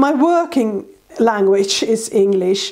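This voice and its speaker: A woman in a fairly high pitch with a Finnish accent, over noticeable background noise. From Finland. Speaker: artist. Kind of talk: tutorial.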